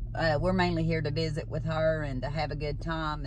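Moderate pace and a dry sound with no echo, amid noticeable background noise. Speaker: vlogger. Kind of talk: casual vlog chat. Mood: cheerful, laughing. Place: car. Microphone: phone near.

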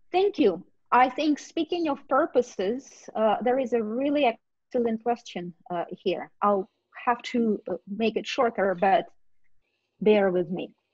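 A woman with a Russian accent speaks at a fairly slow pace with long, frequent pauses. The background is quiet and the sound dry, with no echo. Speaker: discussion moderator, academic; discussion moderator. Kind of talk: moderating an online panel discussion. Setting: video call webinar. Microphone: video call.

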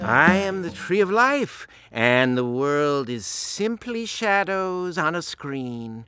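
A man puts on a cartoonish character voice pitched high. He talks at a very slow pace. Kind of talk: solemn philosophical speech. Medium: puppet.

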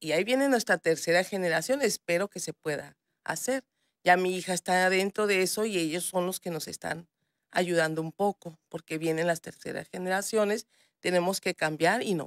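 A woman's voice with ordinary pitch variation, a dry sound with no echo, and a quiet background. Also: moderate pace. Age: 40s. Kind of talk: TV news interview. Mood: warm, proud. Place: studio. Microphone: studio mic.

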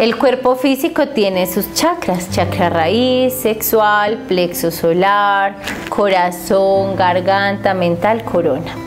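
Clear music plays in the background. The speech moves at a very slow pace. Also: woman. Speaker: spiritual teacher. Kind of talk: spiritual teaching talk. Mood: calm, warm. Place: home room. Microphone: lapel.

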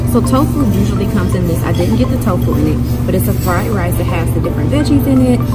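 Music is clearly audible in the background. Over it, a woman speaks. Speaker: food vlogger. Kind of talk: casual vlog chat. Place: cafe.

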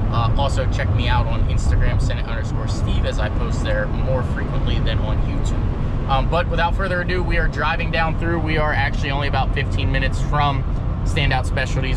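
Against loud background noise, a man talks at a fairly quick pace with hardly any pauses, in a dry sound with no echo. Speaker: car vlogger. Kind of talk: casual vlog chat. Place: car. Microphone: phone near.

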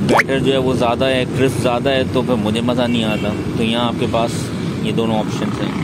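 A man's voice comes through dry with no echo, over loud background noise. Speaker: food vlogger. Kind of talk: casual vlog chat. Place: cafe. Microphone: phone near.

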